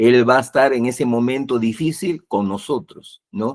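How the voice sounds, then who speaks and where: A man speaks in an unremarkable speaking voice. His pitch is medium, with ordinary pitch variation. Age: 60s. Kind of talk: religious talk show discussion.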